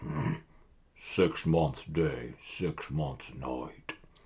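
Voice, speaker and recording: Putting on a booming, growling character voice, a man speaks at a very deep, low pitch with fairly even intonation. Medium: read story. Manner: loud, booming.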